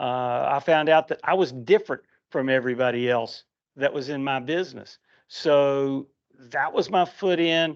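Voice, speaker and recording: Here a man speaks with a West Virginia accent at a fairly high pitch. His pace is moderate, with ordinary pitch variation. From West Virginia, Huntington. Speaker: comic book writer. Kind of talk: convention panel talk.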